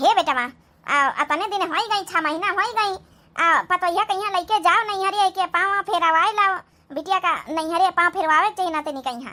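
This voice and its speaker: A woman uses a cartoonish character voice, squeaky and extremely high in pitch. She keeps a moderate pace. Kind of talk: comic overacting. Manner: scolding, rustic Awadhi talk.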